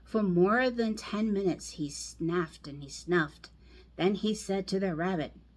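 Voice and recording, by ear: A natural voice reading aloud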